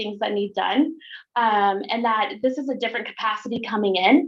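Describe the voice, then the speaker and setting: A woman speaks with ordinary pitch variation. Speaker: school board clerk contractor. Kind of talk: presentation at a public board meeting. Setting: school board meeting room. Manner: fast; halting, many fillers.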